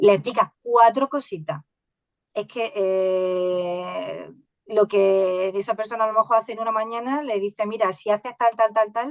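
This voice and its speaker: A woman with an Andalusian accent and a fairly high pitch. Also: ordinary pitch variation, dry, close sound with no echo. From Andalusia, Spain. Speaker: AI educator and science communicator. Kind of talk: podcast interview. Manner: halting.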